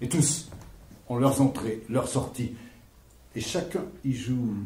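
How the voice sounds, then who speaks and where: A man speaks at a very slow pace in a dark, mellow, somewhat breathy tone with ordinary pitch variation. Audible room echo surrounds the voice. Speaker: stage actor. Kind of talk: theatrical monologue. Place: stage. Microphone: camera far.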